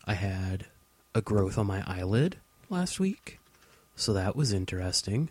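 A man's somewhat breathy, fairly low voice at a fairly slow pace, with very even loudness, ordinary pitch variation and long, frequent pauses. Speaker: podcast co-host. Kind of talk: casual chat. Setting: home studio.

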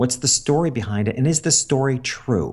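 At a moderate pace, a man speaks with an unremarkable speaking voice and ordinary pitch variation. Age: 50s. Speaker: business coach and former portrait photographer. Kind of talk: interview.

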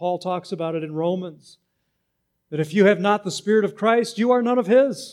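A man's high voice moves at a moderate pace, its pitch varying in an ordinary way. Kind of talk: sermon. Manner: animated, wound up, call-and-response with the congregation; earnest, emphatic, teaching.

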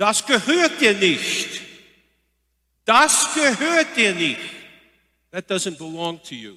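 A man does a loud, shrill put-on character voice, high in pitch with very wide pitch swings. He goes at a fairly slow pace with long, frequent pauses. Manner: demanding, accusing.

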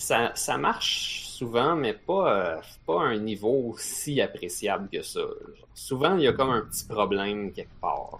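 A man in a Quebec accent, fairly slow pace, noticeable background noise. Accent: Québécois French. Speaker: podcast co-host. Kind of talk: casual chat.

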